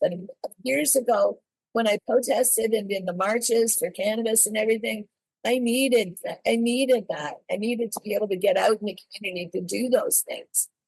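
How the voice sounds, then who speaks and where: A woman with a Canadian accent and an unremarkable speaking voice talks at a moderate pace, her fairly high pitch showing ordinary variation, in a dry, close sound with no echo. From Canada. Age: 60s. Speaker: drug policy reform advocate. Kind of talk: interview conversation.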